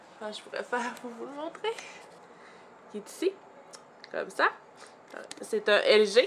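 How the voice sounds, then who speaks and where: A woman with a Quebec accent speaks with long, frequent pauses. Noticeable background noise runs under her voice. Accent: Québécois French. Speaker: vlogger, mother. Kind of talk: casual vlog. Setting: at home. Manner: hesitant with fillers.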